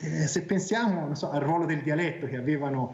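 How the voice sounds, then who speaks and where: There is noticeable background noise and audible room echo as a man speaks at a moderate pace with ordinary pitch variation. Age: 40s. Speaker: academic guest on talk show. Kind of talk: tv talk show discussion.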